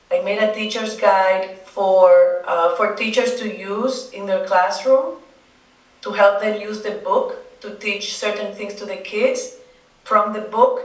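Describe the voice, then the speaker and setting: A woman with a Spanish accent speaks at a fairly slow pace, her pitch fairly high and her intonation fairly even. Her loudness swings widely, over noticeable background noise and audible room echo. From Dominican Republic. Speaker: children's book author. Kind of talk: interview. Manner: halting.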